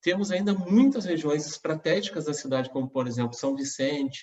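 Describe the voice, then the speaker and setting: A man speaks at a moderate pace with fairly high pitch. He has an ordinary speaking voice and ordinary pitch variation. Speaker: mayoral candidate. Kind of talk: campaign presentation.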